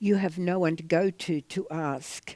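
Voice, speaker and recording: A woman with an Australian accent speaks in a dark, mellow tone on a very clean recording with a silent background. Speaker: author and artist. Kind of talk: interview. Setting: theatre.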